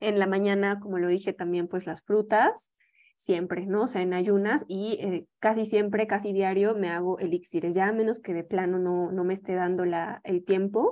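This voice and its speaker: A woman with a Mexican accent and fairly even intonation against a quiet background. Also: medium pitch for a woman, moderate pace. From Mexico. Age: young. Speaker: yoga teacher and holistic health advisor; presenter. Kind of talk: lecture. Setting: video call. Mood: calm, friendly explaining. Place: home room. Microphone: video call.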